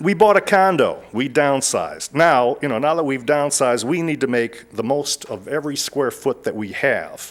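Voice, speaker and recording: Speaking with an American accent, a man uses lively intonation at a moderate pace. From Detroit, Michigan. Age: 60s. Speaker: lay speaker. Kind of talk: personal testimony talk. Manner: halting, with repetitions.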